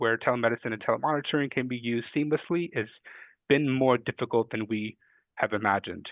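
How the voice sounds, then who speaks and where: Here a man talks at a fairly quick pace. His pitch is medium and his intonation fairly even. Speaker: health policy analyst. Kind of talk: webinar presentation. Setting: webinar. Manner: fast.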